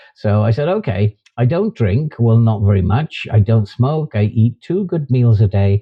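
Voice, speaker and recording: A man with a British accent speaks at a medium pitch and moderate pace. His voice is somewhat breathy, with lively intonation. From UK. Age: 60s. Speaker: YouTuber and author. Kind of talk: vlog monologue.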